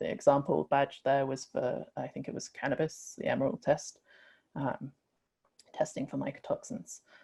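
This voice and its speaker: A woman speaks at a moderate pace in a dry, close sound with no echo. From UK. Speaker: industry scientist, webinar presenter. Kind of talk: webinar presentation. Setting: online webinar. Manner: frequent filler 'um'.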